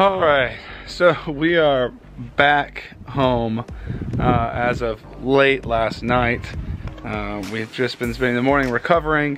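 Over clear music in the background, a man speaks at a very slow pace with long, frequent pauses, the sound dry with no echo. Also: ordinary pitch variation. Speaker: reseller vlogger. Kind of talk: casual vlog chat. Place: street. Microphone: phone near.

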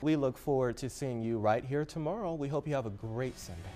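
A man's medium-pitched voice with an American accent, upbeat tone, ordinary pitch variation and fairly quick pace, over music in the background. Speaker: news anchor and reporter. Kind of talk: TV news anchor and field reporter reel. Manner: polished, upbeat, professional broadcast delivery.

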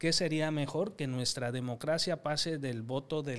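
Ordinary pitch variation in a man's speech. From Mexico, Coahuila (La Laguna region); Coahuila, Mexico. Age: young. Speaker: government official and political commentator; political commentator. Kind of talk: political discussion panel. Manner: formal. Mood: earnest, measured. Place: studio. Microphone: studio mic.

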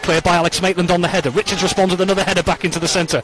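Over noticeable background noise, a man speaks in an animated tone at a high pitch. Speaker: football commentator. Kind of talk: live match commentary. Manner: fast, fluent play-by-play delivery; urgent and animated, rising at chances and set pieces.

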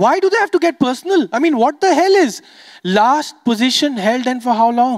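The speaker sounds animated, with very wide pitch swings at a moderate pace. The background stays quiet. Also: man. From Dubai, Sindhi Indian family. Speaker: stand-up comedian. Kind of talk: stand-up. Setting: stage with audience. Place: stage. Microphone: handheld.

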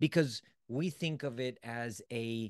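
In dry sound with no echo and a quiet background, a man talks with ordinary pitch variation. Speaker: self-development coach. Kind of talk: motivational lecture. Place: home room. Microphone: studio mic.

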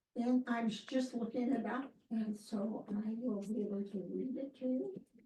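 A woman with a fairly high pitch and a dark, mellow tone speaks at a fairly slow pace, somewhat breathy and with fairly even intonation. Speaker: library board trustee. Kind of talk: public meeting discussion.

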